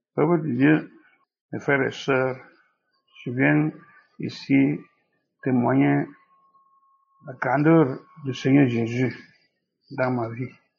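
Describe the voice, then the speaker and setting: A man's medium-pitched voice at a very slow pace, with ordinary pitch variation and long, frequent pauses. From Cameroon. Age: 70s. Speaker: testimony giver, believer. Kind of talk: testimony.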